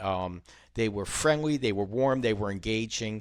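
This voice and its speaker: A man with an unremarkable speaking voice, lively intonation and a fairly quick pace, on a very clean recording with a silent background. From Philadelphia, US. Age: 60s. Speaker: novelist and former business consultant. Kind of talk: casual interview chat. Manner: frequent filler ums.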